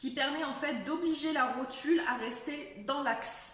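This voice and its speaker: Noticeable background noise can be heard as a woman talks. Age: 20s. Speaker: person living with a chronic illness. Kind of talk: casual talk to camera.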